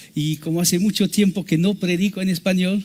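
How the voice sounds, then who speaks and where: A man with a French accent at a moderate pace, amid noticeable background noise. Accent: French accent in Spanish, non-native. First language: French (speaking Spanish). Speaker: missionary preacher. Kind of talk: sermon. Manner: halting.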